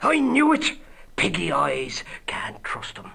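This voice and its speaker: Someone doing a raspy, put-on character voice speaks at a fairly slow pace. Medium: video game. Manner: blunt, gruff.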